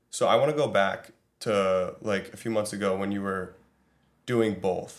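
A man's normal speaking voice at fairly low pitch and a fairly slow pace. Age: 20s. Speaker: podcast host. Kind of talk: casual chat.

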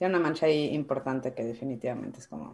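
A woman speaking at a fairly quick pace. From Mexico, Guadalajara. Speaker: Mexican immigrant in Canada. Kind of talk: casual chat.

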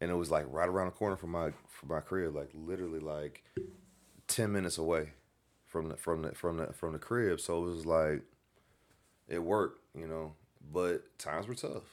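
With an American accent, a man with a very deep, low pitch speaks at a moderate pace with fairly even intonation and long, frequent pauses. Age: 30s. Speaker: podcast co-host. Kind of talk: casual chat. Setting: living room at home. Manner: halting.

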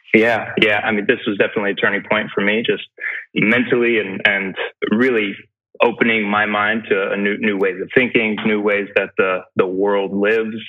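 With an American accent, the speech moves at a moderate pace. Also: man, fairly low pitch for a man. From US South, Greenville, South Carolina. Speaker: real estate developer. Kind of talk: interview. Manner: animated.

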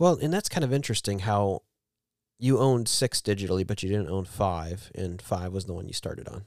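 Fairly low in pitch, a man speaks in a normal speaking voice at a fairly quick pace on a very clean recording with a silent background. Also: ordinary pitch variation. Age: 40s. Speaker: podcast co-host and video game reseller. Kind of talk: casual chat.

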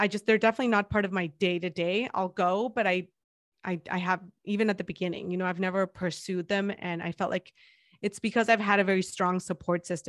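A woman's medium-pitched voice with a Spanish accent, fairly quick and flat in a monotone. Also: dry, close sound with no echo. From Mexico, Guadalajara. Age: 30s. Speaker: podcast host. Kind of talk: interview. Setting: remote call.

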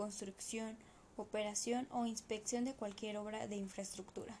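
Noticeable background noise sits behind a woman's fairly high voice. She keeps a moderate pace and a monotone, flat intonation. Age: 20s. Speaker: civil engineer. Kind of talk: reading aloud. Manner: formal.

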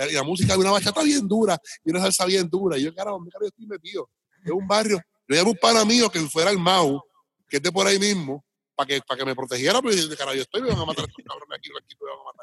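Very fast speech with lively intonation and big swings in loudness comes through dry and close, without echo. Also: man, high pitch for a man. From Puerto Rico. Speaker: hip hop DJ and radio DJ. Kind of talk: casual interview.

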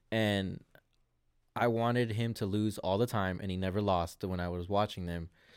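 A man's fairly low voice, a normal speaking voice, at a moderate pace with fairly even intonation, on a very clean recording with a silent background. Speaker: rapper, men's league soccer player. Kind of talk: casual chat with friends.

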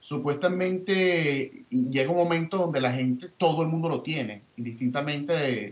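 A man with a Venezuelan accent speaks at a moderate pace with hardly any pauses. His fairly high pitch shows ordinary pitch variation over noticeable background noise. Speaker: podcast host. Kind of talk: casual chat.

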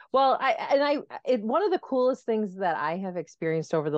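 A woman speaks at a fairly quick pace, her pitch swinging very widely. The sound is dry and close with no echo, against a quiet background. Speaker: respiratory therapist and clinical specialist. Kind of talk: casual interview answers.

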